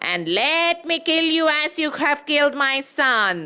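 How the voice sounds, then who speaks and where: Shouting in a high-pitched, put-on character voice, a woman speaks at a fairly slow pace. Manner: terrible, raging, screaming.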